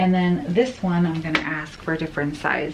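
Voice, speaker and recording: A soft-spoken woman with a fairly low pitch talks over noticeable background noise. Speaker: lifestyle vlogger. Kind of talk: casual unboxing vlog.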